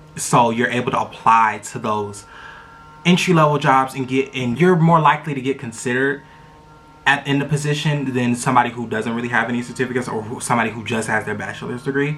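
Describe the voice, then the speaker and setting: A man at medium pitch, animated and very fast, over noticeable background noise. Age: 20s. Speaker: vlogger. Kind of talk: casual chat. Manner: loud.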